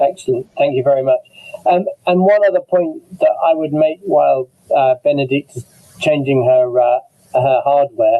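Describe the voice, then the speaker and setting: With an English accent, a man speaks at a moderate pace in a fairly high pitch. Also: ordinary pitch variation. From England. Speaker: immunologist, webinar moderator. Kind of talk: online medical panel discussion.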